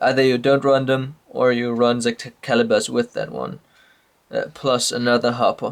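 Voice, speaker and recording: A man with a Danish accent speaks at a moderate pace. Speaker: trading card game player. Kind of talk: casual talk to camera. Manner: hesitant, many fillers.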